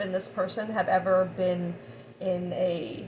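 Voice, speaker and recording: The voice belongs to a woman. Noticeable background noise is present. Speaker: tarot reader. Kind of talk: tarot reading monologue. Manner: halting, stuttering.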